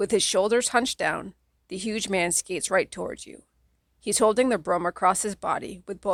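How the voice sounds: Over a quiet background, the voice is a natural reading voice. Its pitch varies in an ordinary way.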